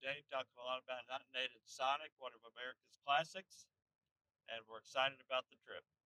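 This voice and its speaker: A man of medium pitch speaks in a bright, sharp tone, the sound dry and close with no echo. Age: 60s. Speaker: hunting channel host. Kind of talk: casual vlog chat. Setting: in a truck.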